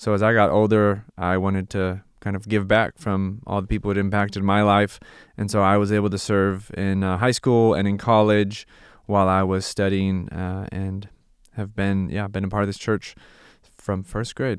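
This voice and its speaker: A man with a Californian accent and a fairly low pitch talks at a moderate pace in a flat monotone, in a very clean recording with a silent background. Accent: Californian American English. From US West, Santa Clarita, California. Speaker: missionary and former pastor. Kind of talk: casual interview.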